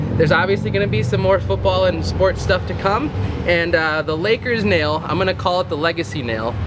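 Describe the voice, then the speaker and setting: Noticeable background noise runs through the clip. Over it, a man speaks fairly quickly with lively intonation. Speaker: husband doing voiceover. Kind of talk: casual talk to camera.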